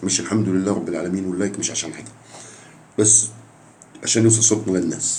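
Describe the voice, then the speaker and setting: A man's animated voice with audible room echo. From Jordan. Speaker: football fan YouTuber. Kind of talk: casual vlog monologue.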